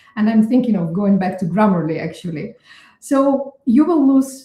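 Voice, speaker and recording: A woman speaks with a dark, mellow tone at a fairly high pitch. Her voice is somewhat breathy, and her intonation is lively. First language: not English. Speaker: neuroscientist. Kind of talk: interview. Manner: hesitant, many fillers.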